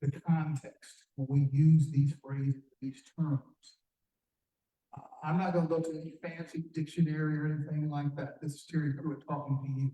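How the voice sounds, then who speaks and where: A man with an American accent speaks at a moderate pace in a fairly high pitch, his tone dark and mellow, somewhat breathy, monotone and flat, with big swings in loudness. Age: 70s. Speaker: community leader, former corporate lobbyist. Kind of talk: public forum speech. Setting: community forum with audience. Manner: direct, earnest; halting with fillers and repetitions.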